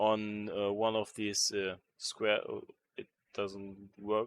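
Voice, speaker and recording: Recorded very clean with a silent background, a man talks at a very slow pace in a dry, close sound with no echo. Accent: German. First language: German. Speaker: modding tutorial creator. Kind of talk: tutorial. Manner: halting, many fillers.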